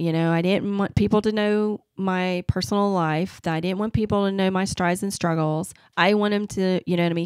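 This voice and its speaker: A woman with a Southern US accent speaks at a medium pitch with fairly even intonation, very even loudness and hardly any pauses, on a very clean recording with a silent background. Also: fairly quick pace. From US South. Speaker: marketing agency owner. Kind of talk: podcast interview.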